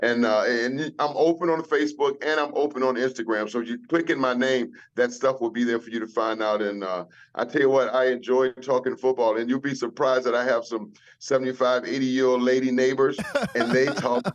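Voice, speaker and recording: Fairly quick and fairly even in intonation, a plain, everyday voice speaks with an American accent. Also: man, medium pitch for a man. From US South. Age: 60s. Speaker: retired football player. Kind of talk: casual chat.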